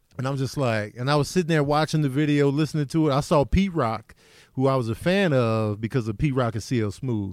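In a very clean recording with a silent background, a man with a plain, everyday voice talks at a fairly quick pace, medium in pitch with ordinary pitch variation. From Chicago. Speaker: comedian. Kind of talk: casual chat.

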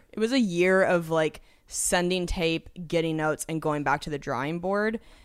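Her pitch fairly low, a woman is heard in a very clean recording with a silent background. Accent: American. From Washington State, US. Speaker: comedian. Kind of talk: casual chat.

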